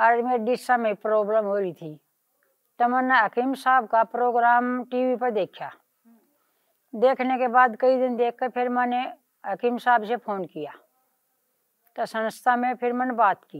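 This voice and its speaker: Pausing long and often, a woman speaks at a high pitch with ordinary pitch variation. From Haryana, India. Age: 60s. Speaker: patient giving testimonial. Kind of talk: testimony.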